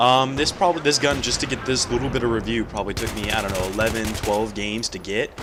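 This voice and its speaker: A man talks at a medium pitch with noticeable background noise present. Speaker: gaming commentator. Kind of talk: casual gameplay commentary. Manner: casual, hesitant with fillers.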